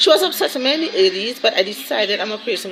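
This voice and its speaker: Lively intonation at a very fast pace comes through noticeable background noise. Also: woman. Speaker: vlogger. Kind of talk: casual vlog chat.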